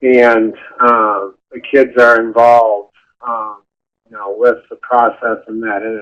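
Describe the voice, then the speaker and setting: A man with an American accent talks very slowly at a medium pitch, his intonation monotone and flat while his loudness swings widely. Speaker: after-school program director. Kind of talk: webinar panel talk. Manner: halting, many fillers.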